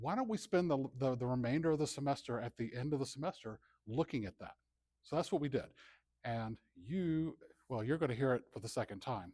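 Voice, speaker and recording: The speaker mumbles at a fairly quick pace with lively intonation and a dark, mellow tone. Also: man, medium pitch for a man. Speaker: computer science professor. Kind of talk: conference talk. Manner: mumbling.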